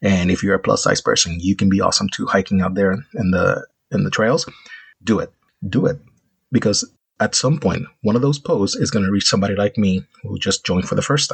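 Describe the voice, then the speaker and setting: A man with a fairly low pitch speaks with lively intonation and a somewhat breathy quality. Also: fairly quick pace. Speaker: podcaster. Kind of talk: solo podcast monologue. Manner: halting, many fillers.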